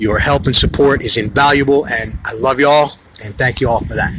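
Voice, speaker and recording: A man with a fairly high pitch speaks in an animated tone against noticeable background noise. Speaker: political livestream host. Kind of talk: live stream chat reading comments. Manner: fast.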